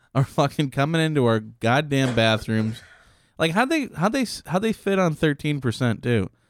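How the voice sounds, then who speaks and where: The intonation is lively and the loudness very even in a very clean recording with a silent background and a dry, close sound with no echo. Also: man, fairly high pitch for a man, moderate pace. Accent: Midwestern US. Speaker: podcast co-host. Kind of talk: casual banter. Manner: joking, laughs often.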